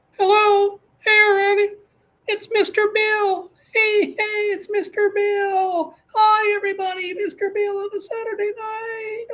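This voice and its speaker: A put-on character voice, squeaky and extremely high in pitch, speaks at a moderate pace. Its intonation stays monotone and flat. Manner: chipper, whiny.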